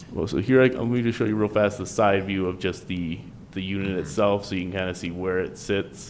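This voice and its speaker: In an unremarkable speaking voice, a man talks at a fairly quick pace with a fairly low pitch. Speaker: town planning staff presenter. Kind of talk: public meeting presentation.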